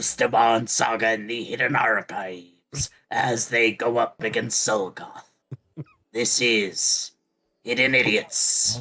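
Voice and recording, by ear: A man's put-on character voice at a medium pitch, delivered at a fairly slow pace.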